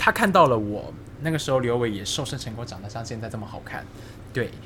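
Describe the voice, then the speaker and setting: Noticeable background noise and audible room echo accompany a fairly quick pace of speech. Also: man. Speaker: podcast co-host. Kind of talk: casual chat.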